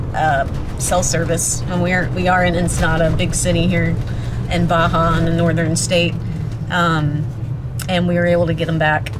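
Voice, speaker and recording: A woman talks over noticeable background noise. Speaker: travel vlogger. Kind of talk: casual vlog chat. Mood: relieved, laughing. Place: car. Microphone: phone near.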